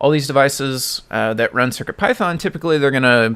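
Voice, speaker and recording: A man has an unremarkable speaking voice at medium pitch, talking at a fairly quick pace with ordinary pitch variation. The recording is very clean, with a silent background. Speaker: live-coding streamer, software developer. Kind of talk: casual live stream tutorial.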